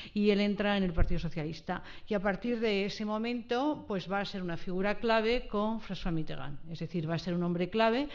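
With ordinary pitch variation, a woman talks fairly quickly over a quiet background. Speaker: lecturer on a panel. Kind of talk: lecture. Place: hall. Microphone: podium.

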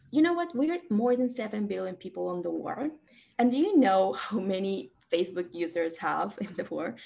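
With a Spanish accent, a woman speaks at a moderate pace in a dark, mellow tone with lively intonation. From Peru. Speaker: data expert and alumni presenter; presenter. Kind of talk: conference presentation.

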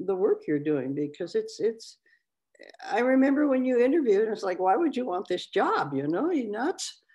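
A woman speaks in a dark, mellow tone with vocal fry, her pitch swinging very widely. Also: quiet background. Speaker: advisory board member. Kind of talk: public board meeting. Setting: video call. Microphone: video call.

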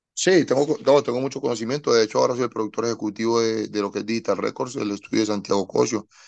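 A man races along at a very fast pace in a medium pitch, with ordinary pitch variation over a quiet background. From Colombia, Medellín. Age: 30s. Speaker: singer-songwriter and producer; guest. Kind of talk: interview. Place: home room. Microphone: video call.

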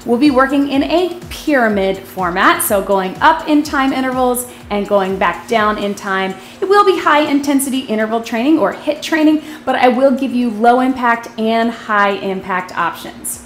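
A woman with a high voice speaks at a moderate pace, with music in the background and audible room echo. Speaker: fitness instructor. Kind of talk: workout video intro. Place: gym.

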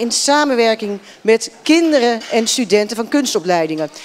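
At a moderate pace, a woman speaks in a high pitch over light background noise. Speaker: moderator. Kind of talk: panel moderation. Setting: stage with audience. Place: hall. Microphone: handheld.

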